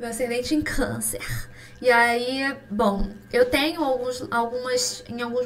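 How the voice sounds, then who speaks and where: With a Rio de Janeiro accent, a woman talks at a fairly slow pace and a fairly high pitch, amid audible room echo and noticeable background noise. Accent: Carioca Brazilian Portuguese. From Brazil, Rio de Janeiro. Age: 20s. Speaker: pharmacist and skincare podcaster. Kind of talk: casual solo podcast chat.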